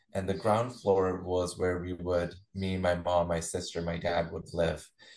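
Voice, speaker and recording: Very deep and low, a man's voice moves at a very slow pace. The background is quiet. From India, Chandigarh. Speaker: kirtan singer and spiritual teacher. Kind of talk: interview.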